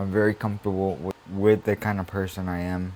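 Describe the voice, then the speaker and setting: A man speaks at a moderate pace with a very deep, low pitch. His intonation is monotone and flat. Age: 20s. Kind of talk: monologue podcast. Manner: casual, hesitant with fillers.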